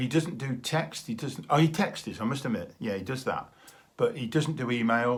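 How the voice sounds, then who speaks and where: A somewhat breathy man speaks at a medium pitch. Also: ordinary pitch variation, moderate pace. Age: 60s. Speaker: vlogger, retired teacher. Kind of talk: casual video diary monologue. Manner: hesitant, with fillers.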